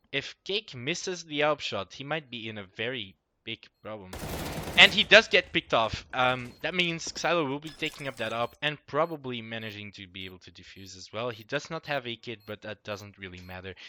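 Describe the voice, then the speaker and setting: With a non-native accent, a man at a medium pitch talks at a moderate pace in a bright, sharp tone with lively intonation, big swings in loudness, and a dry, close sound with no echo. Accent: heavy non-native. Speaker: esports caster. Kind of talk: live esports game commentary.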